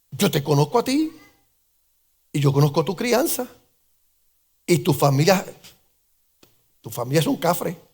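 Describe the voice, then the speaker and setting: Speaking at a moderate pace with long, frequent pauses, a man in an animated tone uses a fairly high pitch with very wide pitch swings. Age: 60s. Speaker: pastor. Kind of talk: sermon. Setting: church.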